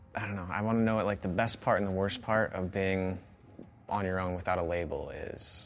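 A man with an American accent talks at a fairly quick pace. His pitch is fairly low. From Iowa, US Midwest. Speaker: podcast host. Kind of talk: casual interview chat.

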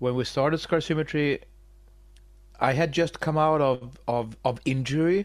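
Over a silent background in a very clean recording, a man speaks at a moderate pace with a Swedish accent. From Sweden. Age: 40s. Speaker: metal musician. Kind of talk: interview. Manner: halting, many repetitions.

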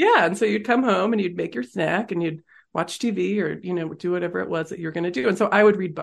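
A woman speaks very fast with an American accent, her pitch fairly low with ordinary variation. Vocal fry runs through her voice. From US Northeast (Massachusetts). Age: 40s. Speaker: author and business founder. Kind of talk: interview conversation.

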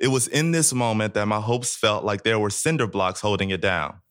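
A man with an American accent and a plain, everyday voice speaks at a medium pitch with ordinary pitch variation on a very clean recording with a silent background. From US South, Jackson, Mississippi. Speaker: university student storyteller. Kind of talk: reading aloud a poetic piece; personal storytelling on stage. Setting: live event.

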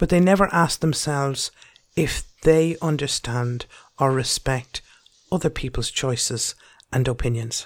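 In an Irish accent, the speaker uses a passionate tone at a fairly slow pace, on a very clean recording with a silent background. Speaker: podcast host. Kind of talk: angry rant. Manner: passionate, forceful, blunt; rhetorical, questioning, lecturing.

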